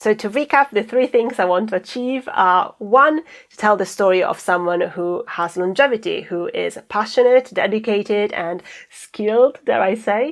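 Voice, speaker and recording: A woman with a non-native accent and a fairly high voice talks at a moderate pace, with ordinary pitch variation and big swings in loudness. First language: not English. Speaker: actor and stand-up comedian vlogger. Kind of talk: casual vlog monologue. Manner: halting, repeats words.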